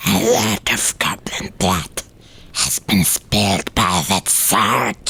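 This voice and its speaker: A low, growling put-on character voice moves at a very slow pace. Light noise sits in the background. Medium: read story. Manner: rambling, folksy.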